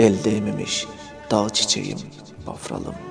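With music in the background, a man speaks slowly-ish at a fairly slow pace in a fairly low voice. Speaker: poet reading his own poem. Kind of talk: poetry reading over background music.

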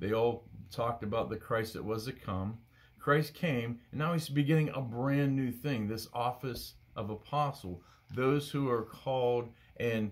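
A man speaks at a fairly slow pace. His voice is somewhat breathy, with ordinary pitch variation. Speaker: bible study teacher. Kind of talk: bible study teaching. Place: home room. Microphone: phone near.

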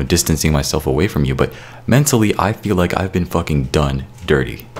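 A man with a very deep, low pitch, lively intonation and a fairly quick pace. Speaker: YouTube music creator and podcaster. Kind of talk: angry rant, a furious, profanity-laden callout aimed at a former co-host. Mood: angry, frustrated. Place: home room. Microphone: studio mic.

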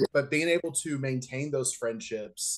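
A man with lively intonation at a fairly slow pace against a quiet background. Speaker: remote interview guest. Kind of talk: interview answer. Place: home room. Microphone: video call.

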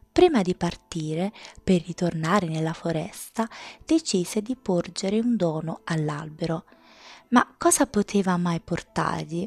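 A woman with a normal speaking voice talks at a fairly low pitch, using ordinary pitch variation. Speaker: ASMR storyteller reading her own tales. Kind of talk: bedtime story reading aloud, ASMR style. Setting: home recording, close-mic ASMR. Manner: slow, soft-spoken, soothing; gentle, dreamy, measured storytelling pace.

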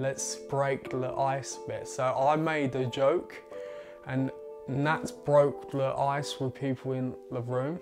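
Clear music plays in the background under a voice with ordinary pitch variation. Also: man. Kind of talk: personal account in documentary. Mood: earnest, reflective. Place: home room. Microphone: lapel.

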